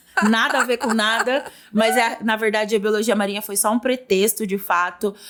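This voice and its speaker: Fairly high pitch from a woman, an ordinary speaking voice at a moderate pace. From Brazil, São Paulo interior (Porto Feliz). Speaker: business mentor. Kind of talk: interview.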